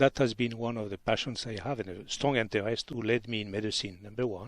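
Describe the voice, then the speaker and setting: Speaking very fast with a French accent, a man keeps his medium-pitched voice in fairly even intonation. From southern France, Pyrenees. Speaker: physician. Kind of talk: radio interview. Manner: halting, many fillers.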